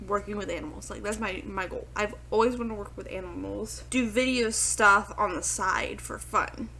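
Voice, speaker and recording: A quiet woman talks at a moderate pace with hardly any pauses, her loudness swinging widely. Noticeable background noise and audible room echo fill the recording. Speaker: reaction YouTuber / VTuber. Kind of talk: reaction video commentary. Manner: hesitant, filler-heavy.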